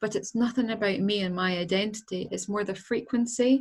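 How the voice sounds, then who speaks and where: A woman with a strong Scottish accent speaks at a medium pitch, her voice somewhat breathy and her intonation fairly even. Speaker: angel healer, author. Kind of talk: interview.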